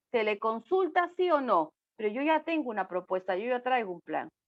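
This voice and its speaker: A woman's high voice with very wide pitch swings at a moderate pace, dry and close with no echo. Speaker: speaker on disaster risk management. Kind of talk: online talk. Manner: animated.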